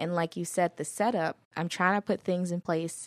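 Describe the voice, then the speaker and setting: A woman talks at a moderate pace with a plain, everyday voice, pitched fairly low. The recording is very clean and silent in the background, with a dry, close sound and no echo. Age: 20s. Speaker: podcast host. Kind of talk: casual chat. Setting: studio.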